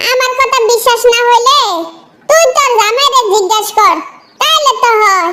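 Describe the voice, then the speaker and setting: A woman uses a squeaky, cartoonish character voice at an extremely high pitch, speaking at a moderate pace. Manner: brash, teasing.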